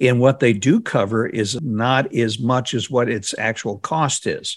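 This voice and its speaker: A man talks at a fairly slow pace at a medium pitch, in an ordinary speaking voice. The recording is very clean, with a silent background. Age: 60s. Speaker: financial radio host. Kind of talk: interview.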